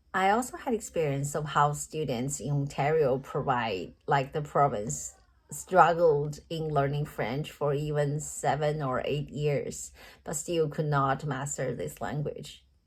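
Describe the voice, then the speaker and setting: A woman with a Chinese accent speaks at a fairly slow pace. Her voice is very deep and low, with vocal fry. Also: ordinary pitch variation. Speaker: teaching candidate. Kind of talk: recorded job interview answers. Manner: halting.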